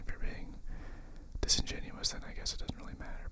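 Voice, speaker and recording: Over noticeable background noise, a man is whispering. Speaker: ASMR creator. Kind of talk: ASMR whispered ramble. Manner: nervous, hesitant.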